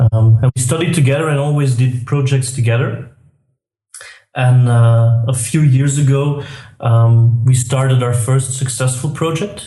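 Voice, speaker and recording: A man with a Belgian accent, medium pitch and a dark, mellow, somewhat breathy tone, at a fairly slow pace with fairly even intonation and audible room echo. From Belgium. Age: 30s. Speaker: tech entrepreneur. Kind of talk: interview. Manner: hesitant, many fillers.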